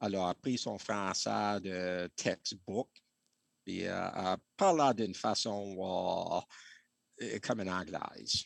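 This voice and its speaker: Very deep and low in pitch, a man talks at a very slow pace with long, frequent pauses. The sound is dry and close, with no echo. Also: ordinary pitch variation. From New Hampshire, Franco-American community. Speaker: bark canoe builder. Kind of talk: interview. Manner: halting.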